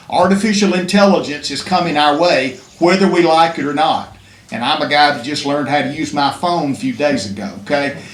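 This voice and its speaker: Fairly quick speech with an Alabama accent and ordinary pitch variation, audible room echo and noticeable background noise. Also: man, fairly high pitch for a man. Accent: Alabama Southern US. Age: 60s. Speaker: state legislator. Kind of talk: public speech at press conference. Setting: press conference.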